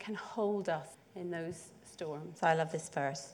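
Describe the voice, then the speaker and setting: A woman with a Northern Irish accent. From Northern Ireland, north coast (Portstewart). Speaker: church preacher. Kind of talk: sermon.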